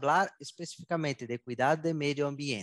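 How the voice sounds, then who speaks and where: With a normal speaking voice, a man talks at a moderate pace and medium pitch with ordinary pitch variation, in a dry, close sound with no echo and a quiet background. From southern Brazil. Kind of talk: interview. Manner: mixes Portuguese and Spanish.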